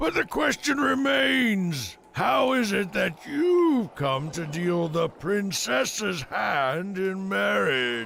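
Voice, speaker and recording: A man shouts in a cartoonish character voice, high-pitched and very slow, with clear background noise behind him. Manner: gloating, contemptuous, chuckling.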